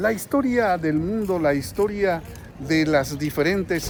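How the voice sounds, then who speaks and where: High-pitched with lively intonation, a man's voice comes through over noticeable background noise. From central Mexico, Guanajuato. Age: 60s. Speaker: political commentator vlogger. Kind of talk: vlog monologue. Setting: in a queue at a bank, public place.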